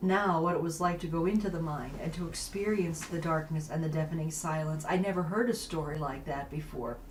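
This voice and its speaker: A woman with a fairly low pitch talks at a fairly quick pace over noticeable background noise. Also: ordinary pitch variation, hardly any pauses. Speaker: public broadcasting producer. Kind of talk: interviewer questions.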